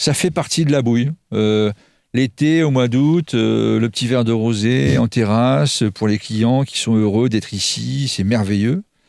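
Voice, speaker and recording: Using a normal speaking voice, a man talks fairly slowly at medium pitch with lively intonation. The sound is dry and close, with no echo. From Normandy, France. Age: 50s. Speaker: restaurant chef. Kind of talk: radio interview.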